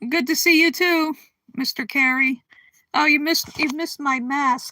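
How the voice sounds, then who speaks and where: A raised, projected voice with an American accent carries a bright, sharp tone at a moderate pace. The intonation is fairly even, and the sound is dry and close with no echo. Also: woman, high pitch for a woman. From Connecticut, US. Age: 60s. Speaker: livestream host. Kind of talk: casual chat. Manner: halting.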